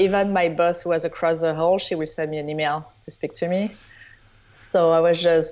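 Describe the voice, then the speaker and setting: A woman speaks in a French accent. Her intonation is monotone and flat. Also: fairly low pitch for a woman, moderate pace. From southern France (Provence). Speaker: wedding photographer. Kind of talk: interview.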